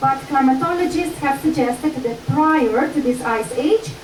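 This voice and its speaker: Audible room echo and noticeable background noise around a woman speaking at a moderate pace with ordinary pitch variation. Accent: strong Slovenian. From Slovenia. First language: Slovenian. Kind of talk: lecture.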